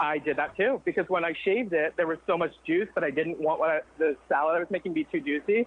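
This woman has an ordinary speaking voice, fairly low in pitch, and talks at a fairly quick pace. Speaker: caller. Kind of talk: casual chat. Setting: phone call.

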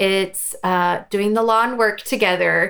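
A woman speaks with a fairly high pitch in an ordinary speaking voice. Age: 40s. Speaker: homeschooling mom and magazine founder. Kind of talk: casual interview chat.

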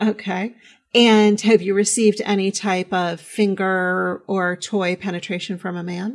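A woman's medium-pitched, monotone, flat delivery on a very clean recording with a silent background. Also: fairly slow pace. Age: 40s. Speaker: podcast host, sex educator. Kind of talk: casual interview chat.

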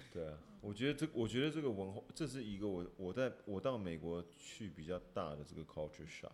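Fairly low in pitch but with very wide swings, a man talks at a fairly quick pace with hardly any pauses. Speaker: podcast co-host. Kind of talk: casual chat.

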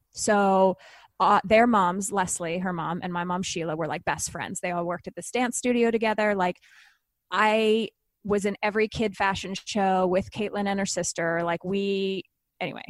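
A woman with an ordinary speaking voice talks at a moderate pace and medium pitch, her intonation fairly even, in a very clean, dry, close recording with no echo and a silent background. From Canada. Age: 40s. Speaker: TV host and author. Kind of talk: casual interview.

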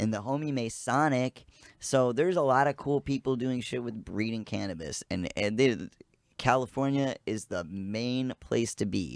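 In a plain, everyday voice, a man with an American accent speaks at a moderate pace and medium pitch with ordinary pitch variation, the sound dry and close with no echo. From US Midwest, south side of Chicago. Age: 30s. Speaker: cannabis expert. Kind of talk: casual chat.

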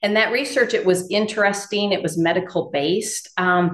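A woman with an American accent speaks at a moderate pace in an unremarkable speaking voice, with ordinary pitch variation. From Iowa, north of Dubuque. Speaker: integrative veterinarian. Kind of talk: interview.

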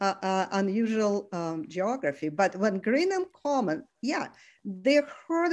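Speaking with a Russian accent, a woman uses lively intonation at a fairly slow pace. The background is quiet. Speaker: retired geographer and former peace activist. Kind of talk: interview storytelling. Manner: halting.

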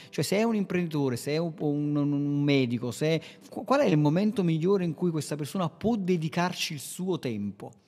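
Lively intonation and a dark, mellow tone come through at a moderate pace. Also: man, fairly high pitch for a man. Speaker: podcast host, web marketing agency owner. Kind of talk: casual instructional chat on marketing. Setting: remote recording with co-host.

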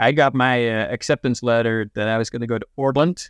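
Against a quiet background, a man with a Dutch accent talks at a fairly quick pace. His pitch is medium, with ordinary variation. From Netherlands. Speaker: challenge course trainer and services manager. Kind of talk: interview.

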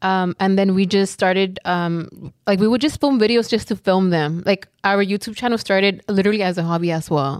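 Using a Southern California accent, a woman of medium pitch talks at a fairly quick pace with ordinary pitch variation and very even loudness. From South Central Los Angeles. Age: 20s. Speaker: influencer. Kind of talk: casual chat.

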